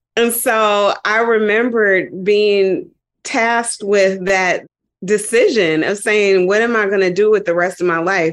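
A woman's normal speaking voice at medium pitch, very even in loudness, with fairly even intonation and a fairly slow pace. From Dayton, Ohio, US Midwest. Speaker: yoga teacher. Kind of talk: interview conversation.

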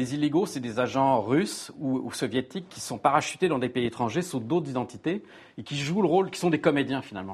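Recorded very cleanly against a silent background, a man with an ordinary speaking voice talks at a fairly quick pace and a fairly high pitch. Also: lively intonation. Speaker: journalist. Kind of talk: panel discussion.

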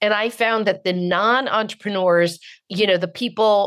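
A woman speaks in a plain, everyday voice with an American accent. Her pace is moderate and her intonation fairly even. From US West Coast, Marin County, California. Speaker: book publisher and author. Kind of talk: interview.

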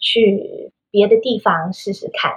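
A somewhat breathy woman's voice at medium pitch with ordinary pitch variation. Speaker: children's English teacher and podcaster. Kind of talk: interview.

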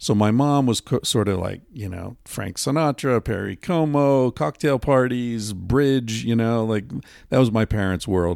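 On a very clean recording with a silent background, a man uses a normal speaking voice at a medium pitch, a fairly slow pace, and ordinary pitch variation. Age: 50s. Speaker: author and podcast host. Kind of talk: casual chat. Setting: hotel room.

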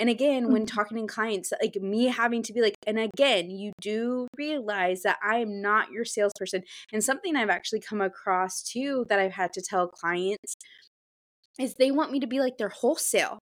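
A woman speaks at a moderate pace with a fairly high pitch and ordinary pitch variation, an unremarkable speaking voice. The recording is very clean with a silent background. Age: 20s. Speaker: podcast co-host, social media manager. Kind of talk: casual chat.

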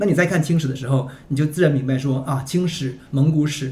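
A man talks at a very fast pace in a fairly high pitch. His voice is somewhat breathy, with ordinary pitch variation. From Northeast China (Liaoning). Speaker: publisher editor-in-chief. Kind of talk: casual podcast conversation. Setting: studio, in-person.

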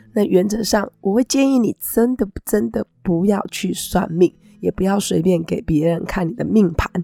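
A woman speaks at a fairly slow pace with a medium pitch and ordinary pitch variation. The sound is dry and close with no echo, and there is noticeable background noise. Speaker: astrology teacher and podcast host. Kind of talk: casual talk-style monologue.

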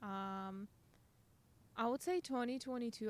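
Speaking with a Russian accent, a woman uses a fairly high pitch and ordinary pitch variation. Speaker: podcast guest. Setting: in person.

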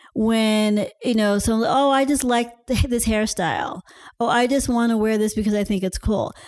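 This woman has an unremarkable speaking voice, fairly high in pitch, with an American accent. Her pace is fairly slow and her intonation fairly even. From US. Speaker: fashion designer and writer. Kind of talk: casual chat.

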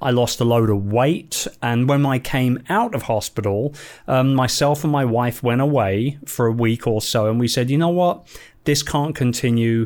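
Medium-pitched male speech in a London accent at a moderate pace, very even in loudness, on a very clean recording with a silent background. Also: ordinary pitch variation. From London, England. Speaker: entrepreneur and business coach. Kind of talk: interview. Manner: animated.

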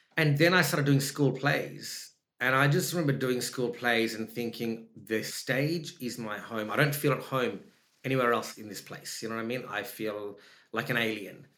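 In an Australian accent, a man speaks at a moderate pace with a bright, sharp tone and ordinary pitch variation. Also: medium pitch for a man. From Sri Lanka and Perth, Australia. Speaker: actor. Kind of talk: casual chat. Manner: animated.

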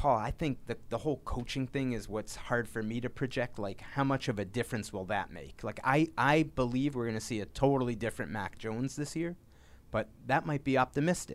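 A man with an American accent and a normal speaking voice talks at a medium pitch and a fairly quick pace. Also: ordinary pitch variation. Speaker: sports reporter. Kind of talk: interview.

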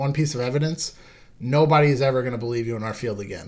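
The speaker has an American accent and fairly even intonation. Audible room echo surrounds the voice. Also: man. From Long Island, New York. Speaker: paranormal investigator, Marine veteran. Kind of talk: casual interview chat. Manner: halting, many fillers and repeats.

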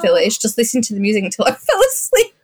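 A somewhat breathy woman's voice. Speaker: podcast guest. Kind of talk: casual chat.

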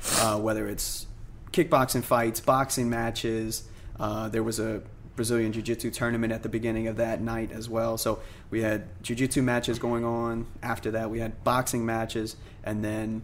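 At a moderate pace, a man with a medium pitch speaks in a flat, monotone way. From New Orleans. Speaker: MMA fighter. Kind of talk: interview.

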